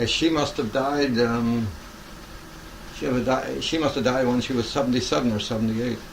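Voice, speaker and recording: Noticeable background noise and audible room echo surround a man speaking at a moderate pace. His pitch is medium, with ordinary pitch variation. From southwest England, Devon. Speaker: elderly interviewee. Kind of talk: oral history interview. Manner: halting.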